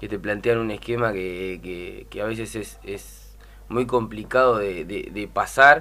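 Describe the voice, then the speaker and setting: A man talks in a bright, sharp tone with fairly even intonation. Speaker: women's football coach. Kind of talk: radio interview. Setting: studio. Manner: halting. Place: studio.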